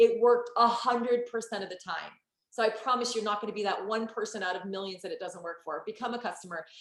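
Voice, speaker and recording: Speaking very fast with an American accent, a woman uses an animated tone, a fairly high pitch and big swings in loudness. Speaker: network marketing entrepreneur. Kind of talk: sales pitch. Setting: online group call.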